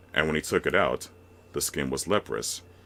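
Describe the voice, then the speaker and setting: A man speaks at a moderate pace, with a very clean recording and a silent background. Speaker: voice narrator. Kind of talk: reading aloud.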